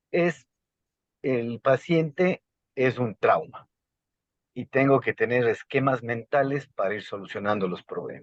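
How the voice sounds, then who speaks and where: At a fairly slow pace with long, frequent pauses, a man talks at a medium pitch with ordinary variation, the sound dry and close with no echo. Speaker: trauma surgeon, speaker. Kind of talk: medical lecture Q&A.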